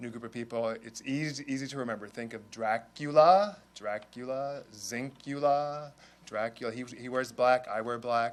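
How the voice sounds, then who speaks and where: Using a normal speaking voice, a man keeps a moderate pace and fairly even intonation. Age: 60s. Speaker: bishop-elect. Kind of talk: press conference remarks.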